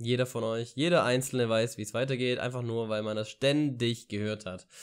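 Medium-pitched male voice over a quiet background. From Ulm, southern Germany; Germany. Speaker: vlogger and university student; vlogger. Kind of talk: casual vlog monologue. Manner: hesitant, many filler sounds. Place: home room. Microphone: studio mic.

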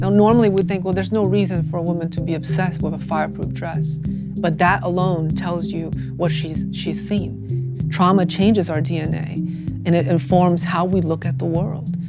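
Loud music fills the background. Over it, a man talks at a moderate pace. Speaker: poet and novelist. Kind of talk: interview answer. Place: studio. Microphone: lapel.

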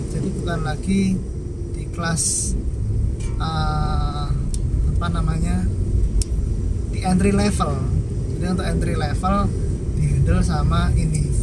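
Over loud background noise, with a dry sound and no echo, a man speaks at a fairly slow pace with long, frequent pauses. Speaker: driver commenting on cars. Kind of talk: casual commentary. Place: car. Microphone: phone near.

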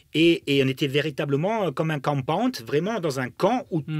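Against a quiet background, a man with a fairly high pitch speaks at a moderate pace with lively intonation, the sound dry with no echo. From Germany. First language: German (speaking French). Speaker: former footballer and football pundit; football pundit. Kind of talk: interview storytelling. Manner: halting with many fillers. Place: studio. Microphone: studio mic.

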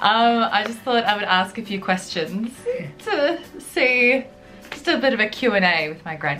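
A woman at a moderate pace with lively intonation, faint music in the background. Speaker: YouTuber interviewing her grandmother. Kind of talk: casual interview questions to camera. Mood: cheerful, upbeat. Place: home room. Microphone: camera far.

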